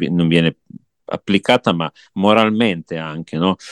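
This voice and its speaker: A man's very deep, low voice at a moderate pace, dry and close with no echo. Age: 40s. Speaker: guest attending a music festival. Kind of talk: casual chat. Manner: halting, with frequent repetitions.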